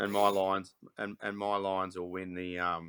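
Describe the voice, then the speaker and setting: Monotone and flat, a man with a very deep, low pitch and a bright, sharp tone speaks at a fairly slow pace. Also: very clean recording, silent background. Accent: Australian. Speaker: sports podcast host. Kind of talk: casual chat.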